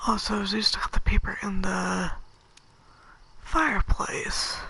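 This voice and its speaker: Someone whispers fairly slowly over noticeable background noise. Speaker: video game streamer. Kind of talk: let's play commentary. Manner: soft-spoken.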